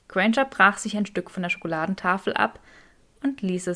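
What you hear is plain reading aloud.

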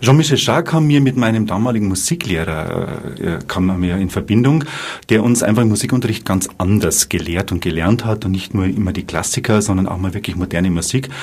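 With noticeable noise behind him, a man with a fairly low voice talks fairly quickly and with lively intonation. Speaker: bank advisor and amateur saxophonist. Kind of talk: live radio interview.

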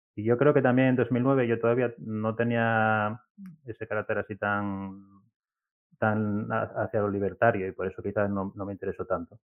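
This man has a plain, everyday voice, fairly low in pitch, and talks at a moderate pace with fairly even intonation. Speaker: software developer and platform founder. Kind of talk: interview.

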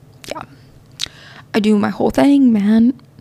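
Animated in tone, a woman with a fairly high voice speaks over noticeable background noise. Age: 20s. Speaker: podcast host. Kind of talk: casual monologue.

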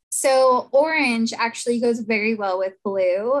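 A woman with a fairly high pitch and ordinary pitch variation uses a normal speaking voice in a very clean recording with a silent background. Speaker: interior designer and stylist. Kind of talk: interview.

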